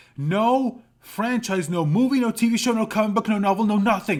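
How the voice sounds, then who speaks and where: A man speaks at a moderate pace in a high voice. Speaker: commentary YouTuber. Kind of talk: reaction commentary reading articles. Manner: loud, yelling.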